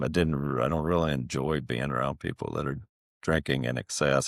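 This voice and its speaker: Quiet and quick-paced, a man with a strong Southern US accent speaks in a very deep, low pitch with monotone, flat intonation, in a dry, close sound with no echo. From Appalachia. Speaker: podcast guest sharing personal story. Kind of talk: interview testimony.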